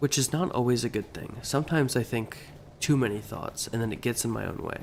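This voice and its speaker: Over noticeable background noise, a man speaks. His pitch is medium, with ordinary variation. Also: fairly quick pace. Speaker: game streamer. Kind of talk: casual live stream chat. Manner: halting.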